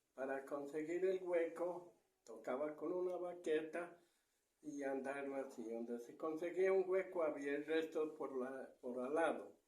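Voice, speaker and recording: In a room with audible echo, a man with a fairly high pitch and a dark, mellow tone speaks with fairly even intonation. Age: 70s. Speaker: retired treasure digger. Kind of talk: interview storytelling.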